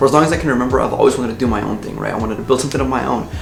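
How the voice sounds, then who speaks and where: A man is speaking with music in the background. There is audible room echo. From US, Mexican American. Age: 20s. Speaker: YouTuber. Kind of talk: casual vlog talk. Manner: conversational.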